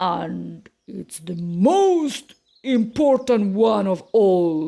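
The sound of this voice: A woman's put-on character voice, very slow, with vocal fry, big pitch swings and a dark, mellow tone. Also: medium pitch for a woman.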